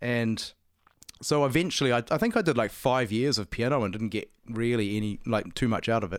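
A man with a New Zealand accent, medium pitch and fairly quick pace, in a very clean recording with a silent background. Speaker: musician, guitarist and singer. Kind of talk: casual interview conversation.

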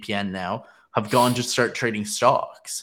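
A man's fairly low-pitched, fairly even voice, an ordinary speaking voice, in a very clean recording with a silent background. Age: 20s. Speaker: podcast co-host. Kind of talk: casual chat.

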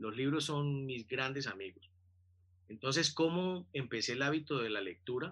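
Here is a man with a medium-pitched voice and ordinary pitch variation. His tone is bright and sharp. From Colombia, Buenaventura (Pacific coast). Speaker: business consultant and coach. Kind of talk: interview.

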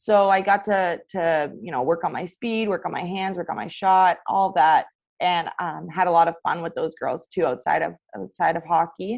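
A woman with a Canadian accent and a fairly low voice speaks in a plain, everyday voice with ordinary pitch variation, against a quiet background. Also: moderate pace. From Ontario, Canada. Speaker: college hockey player. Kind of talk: casual interview.

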